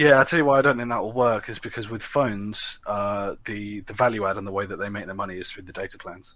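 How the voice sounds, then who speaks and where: Speaking very fast with hardly any pauses, a man with a British accent and a fairly low pitch shows big swings in loudness and ordinary pitch variation in a very clean recording with a silent background. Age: 20s. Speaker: podcast co-host. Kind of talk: casual chat.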